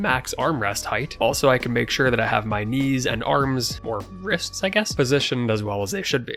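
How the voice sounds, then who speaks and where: With music in the background, a man at a medium pitch talks at a fairly quick pace with lively intonation and hardly any pauses. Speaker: channel creator, product reviewer. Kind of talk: product review talk.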